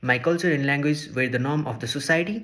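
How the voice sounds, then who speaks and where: Speaking at a very fast pace, a man with a Nepali accent has a fairly high pitch. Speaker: social work student. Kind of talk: scripted presentation.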